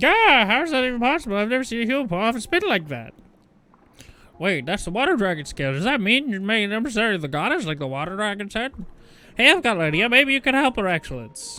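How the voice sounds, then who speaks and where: A put-on character voice from a man, high in pitch and very fast. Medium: game stream. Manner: unsettled, wavering pitch.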